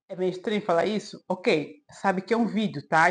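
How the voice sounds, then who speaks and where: A woman uses a plain, everyday voice, speaking fairly fast with ordinary pitch variation. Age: 40s. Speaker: self-help video creator. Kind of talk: advice monologue to camera.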